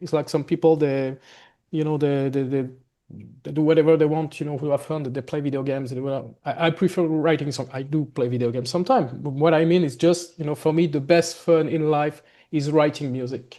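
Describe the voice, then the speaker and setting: A man with a slight French accent speaks at a fairly quick pace and fairly high pitch, his dark, mellow tone carrying fairly even intonation over a quiet background. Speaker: gothic metal musician. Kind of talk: interview. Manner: halting, many fillers.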